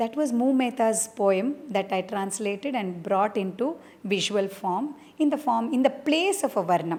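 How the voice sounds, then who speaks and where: A woman's voice swings very widely in pitch. She speaks at a fairly slow pace. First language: Malayalam. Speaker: dancer and choreographer. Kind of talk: interview. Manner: halting, with many fillers.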